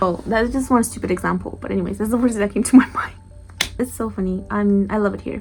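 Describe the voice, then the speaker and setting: A woman speaks very fast. Behind her, music is playing. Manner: lively, amused.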